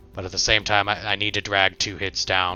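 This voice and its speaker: With music in the background, a man talks at a fairly quick pace in a very deep, low pitch. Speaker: gaming streamer. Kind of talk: live gameplay commentary. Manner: fast.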